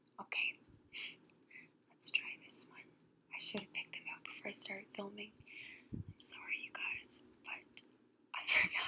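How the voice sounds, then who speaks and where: A woman whispering at a moderate pace, with big swings in loudness and long, frequent pauses. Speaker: ASMR storyteller. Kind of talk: casual talk to camera. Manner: soft-spoken.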